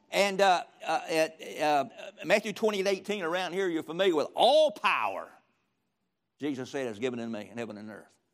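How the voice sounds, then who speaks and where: With a Southern US accent, a man talks at a high pitch with very wide pitch swings in a very clean recording with a silent background. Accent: Southern US (Georgia). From US South, rural middle Georgia. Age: 70s. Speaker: retired pastor, guest preacher. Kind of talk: sermon. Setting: church with audience.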